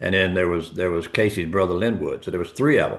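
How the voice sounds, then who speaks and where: In a Southern US accent, a man talks at a fairly low pitch with ordinary pitch variation. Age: 70s. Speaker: insurance agency owner. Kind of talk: interview. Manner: animated.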